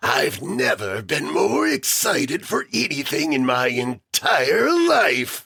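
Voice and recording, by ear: A man uses a put-on character voice that is raspy and medium in pitch, talking at a fairly slow pace with hardly any pauses.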